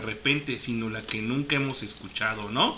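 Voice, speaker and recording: A man speaks with a Mexican accent. Noticeable background noise can be heard. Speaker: radio host. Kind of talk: radio DJ patter. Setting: online radio show. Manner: casual, chatty, friendly.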